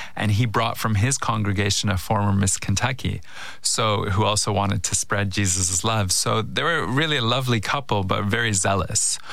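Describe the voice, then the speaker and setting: At a moderate pace, a man with a fairly low pitch talks with ordinary pitch variation and very even loudness amid audible room echo. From Canada. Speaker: filmmaker. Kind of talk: interview conversation.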